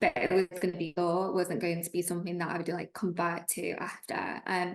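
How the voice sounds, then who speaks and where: The woman's pitch sits fairly low. She moves along at a fairly quick pace. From northern England, Preston, Lancashire. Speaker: trainee solicitor. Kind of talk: interview.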